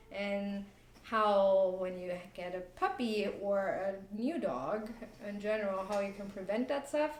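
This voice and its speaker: There is audible room echo and noticeable background noise as a woman speaks in a German accent. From Germany. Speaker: dog trainer and business owner. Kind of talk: casual chat.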